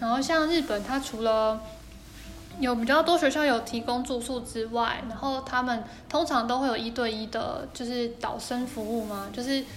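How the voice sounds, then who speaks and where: A woman's high-pitched voice with fairly even intonation and audible room echo. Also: moderate pace. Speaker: podcast co-host, younger sister. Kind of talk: casual chat.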